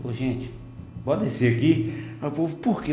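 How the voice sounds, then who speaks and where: Noticeable background noise behind a man speaking fairly high, with ordinary pitch variation. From Bahia, Brazil (Vitória da Conquista). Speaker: podcast host. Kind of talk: casual chat. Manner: animated.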